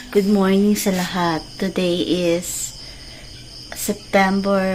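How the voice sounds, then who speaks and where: Soft-spoken and at a very slow pace, a woman talks over noticeable background noise. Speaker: vlogger. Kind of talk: casual vlog. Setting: at home.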